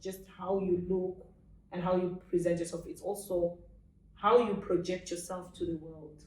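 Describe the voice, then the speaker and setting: A woman talks at a moderate pace with medium pitch. Her tone is dark and mellow. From Africa. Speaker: author. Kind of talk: interview. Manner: loud.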